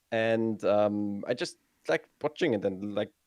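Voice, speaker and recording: A man with a German accent at a moderate pace. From northern Germany, Hamburg. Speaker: video game streamer. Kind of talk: interview. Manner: halting, many fillers.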